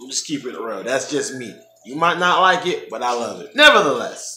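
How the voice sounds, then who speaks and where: Faint music plays in the background as a man speaks amid audible room echo. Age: 30s. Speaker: vlogger preparing for weight loss surgery. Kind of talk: casual vlog update. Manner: hesitant, many filler ums. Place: home room.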